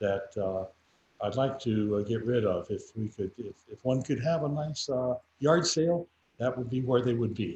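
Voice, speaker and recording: A man talks at a fairly slow pace in a medium pitch, sounding somewhat breathy. His pitch moves in an ordinary way. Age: 80s+. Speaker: vintage radio collector. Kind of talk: show-and-tell on video call. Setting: video call from his garage. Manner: halting, many fillers.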